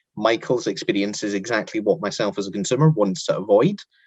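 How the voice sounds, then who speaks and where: This man talks at a fairly quick pace with a Scottish accent. His voice sits fairly low and his intonation is lively. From Scotland. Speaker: interviewer. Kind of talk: interview.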